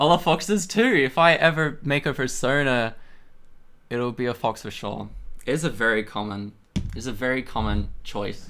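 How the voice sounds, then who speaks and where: On a very clean recording with a silent background, a man with an American accent speaks at medium pitch in a bright, sharp tone. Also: lively intonation, moderate pace. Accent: sounds quite American for an Australian. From Australia. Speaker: streamer doing chemistry experiments. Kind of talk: casual live stream chat. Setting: home lab room.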